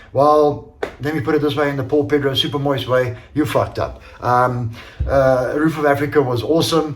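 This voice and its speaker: With noticeable background noise and audible room echo, a man with a fairly high pitch speaks at a fairly quick pace. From Portuguese heritage. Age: 50s. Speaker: amateur enduro racer and business owner. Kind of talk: casual video review. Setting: home workshop. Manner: hesitant, many fillers.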